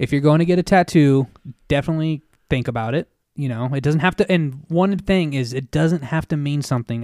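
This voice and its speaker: Speaking at a fairly quick pace, a man with an American accent has an unremarkable speaking voice, fairly high in pitch, with ordinary pitch variation and a dry, close sound with no echo. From Reno, Nevada. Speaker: tattoo artist. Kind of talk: casual chat.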